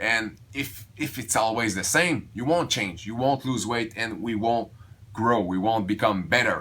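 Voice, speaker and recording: The man's voice sits at a medium pitch with a bright, sharp tone. He speaks at a fairly slow pace with ordinary pitch variation. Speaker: weight loss vlogger. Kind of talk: casual vlog monologue. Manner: halting, many restarts.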